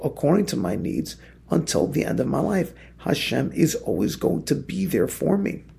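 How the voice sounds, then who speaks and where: A man's voice at a moderate pace, with audible room echo. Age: 40s. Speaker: rabbi teaching a daily Torah class. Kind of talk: religious text study lecture. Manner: repeats words when speaking off the cuff.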